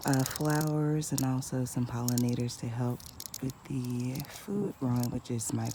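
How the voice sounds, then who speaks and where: A woman with a very deep, low pitch speaks quietly at a very slow pace, with ordinary pitch variation. Noticeable background noise is present. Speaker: gardening vlogger. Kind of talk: casual vlog narration. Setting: outdoors in backyard garden before sunrise. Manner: quiet, low-volume speech; hesitant, many fillers.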